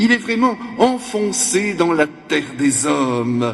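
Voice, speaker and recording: As a man talks, his pitch varying in an ordinary way, noticeable noise sounds in the background. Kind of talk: sermon. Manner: animated.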